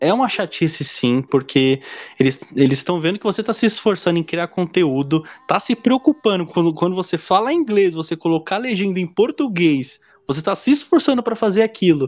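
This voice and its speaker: With very wide pitch swings, a man talks at a fairly quick pace in a high pitch. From Brazil, São Paulo (Diadema). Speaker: podcast host. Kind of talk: casual interview.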